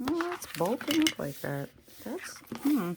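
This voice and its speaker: A woman's very slow speech swings very widely in pitch, with noticeable background noise behind it. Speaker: crafter making handmade journals. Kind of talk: tutorial. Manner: quiet, sparse talk while focused; casual, thinking aloud.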